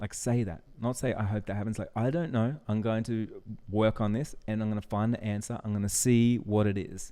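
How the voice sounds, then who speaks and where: A man speaks with a dark, mellow tone at a fairly low pitch. His pace is fairly quick and his intonation fairly even. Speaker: business coach and wedding photographer. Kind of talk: tutorial. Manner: casual, with fillers.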